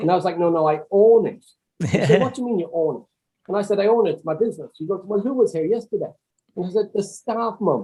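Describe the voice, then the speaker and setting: A man's very fast, high-pitched delivery with ordinary pitch variation. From Swinford, County Mayo, Ireland. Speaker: property investor and trainer. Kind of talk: podcast interview answer.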